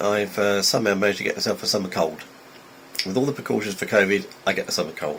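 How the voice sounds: A man uses a put-on character voice, raspy and fairly low in pitch. He talks at a very fast pace over light background noise.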